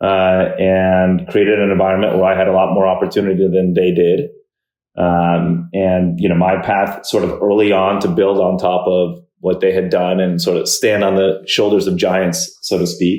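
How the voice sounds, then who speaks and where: In an American accent, a man speaks with a very deep, low pitch and a monotone, flat intonation. His pace is moderate and his loudness very even. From New York. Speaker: tech entrepreneur and investor. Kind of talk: podcast interview. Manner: hesitant, many fillers.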